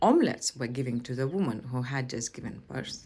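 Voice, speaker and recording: A woman with a Lithuanian accent. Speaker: language and culture teacher. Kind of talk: educational presentation.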